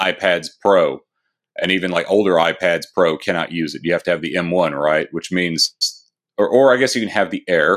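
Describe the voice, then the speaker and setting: In a very clean recording with a silent background, a man uses a normal speaking voice at a moderate pace with ordinary pitch variation. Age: 30s. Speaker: tech author. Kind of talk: interview.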